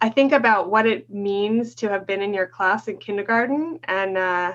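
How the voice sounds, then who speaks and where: A woman speaks at a moderate pace with lively intonation, in an unremarkable speaking voice. Her pitch is medium, and the background is quiet. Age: 40s. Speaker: teacher educator. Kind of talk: casual interview.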